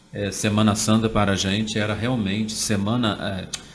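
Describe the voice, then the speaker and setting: A man's monotone, flat voice with audible room echo. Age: 40s. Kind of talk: interview. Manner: hesitant, many fillers.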